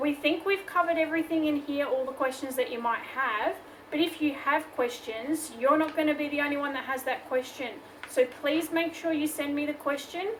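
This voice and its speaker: With an Australian accent, a woman talks at a moderate pace in a high pitch with fairly even intonation over noticeable background noise. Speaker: craft tutorial host. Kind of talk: tutorial. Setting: home workshop. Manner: casual, chatty.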